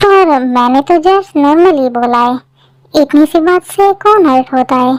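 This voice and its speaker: A woman does a put-on character voice, high-pitched with lively intonation, at a moderate pace. The sound is dry and close with no echo, and the loudness stays very even. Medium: fan dub. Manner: blunt, teasing.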